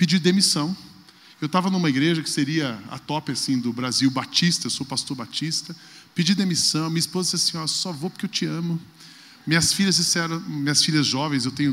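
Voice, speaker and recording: A man with an unremarkable speaking voice talks at a fairly quick pace, his fairly high pitch showing ordinary variation. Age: 40s. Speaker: pastor. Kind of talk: talk on stage.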